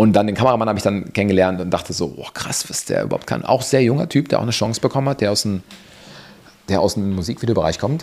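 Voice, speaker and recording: At a very fast pace, a man talks with lively intonation and a fairly low pitch. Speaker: cinematographer. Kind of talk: casual interview chat. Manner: relaxed.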